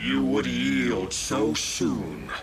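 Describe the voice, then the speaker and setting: Over loud background noise, a man puts on a character voice pitched very deep and low. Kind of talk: formal archaic speech. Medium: game stream. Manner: grave, archaic, preaching.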